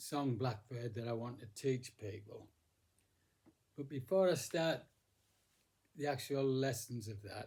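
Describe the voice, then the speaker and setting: At a fairly slow pace with long, frequent pauses, a man speaks in a somewhat breathy, medium-pitched voice with ordinary pitch variation. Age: 80s+. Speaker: music teacher. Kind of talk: casual talk. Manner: halting.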